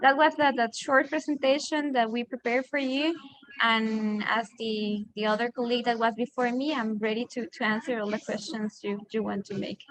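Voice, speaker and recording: A woman with a Costa Rican accent speaks at a fairly high pitch. Her pace is moderate, with ordinary pitch variation. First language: Spanish. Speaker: disaster risk expert. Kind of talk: panel discussion. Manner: halting.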